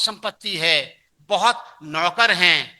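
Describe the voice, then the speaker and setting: A man with a high pitch uses a raised, projected voice and a bright, sharp tone, with ordinary pitch variation. The background is quiet. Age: 70s. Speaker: pastor. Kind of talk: sermon. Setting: church.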